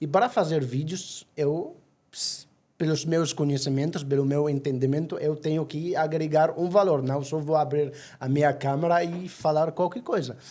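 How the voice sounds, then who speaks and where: A man with an Egyptian accent, fairly high pitch, dark, mellow tone, fairly even intonation and a moderate pace. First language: Arabic (speaking Portuguese). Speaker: travel agency owner. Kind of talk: podcast interview. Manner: halting.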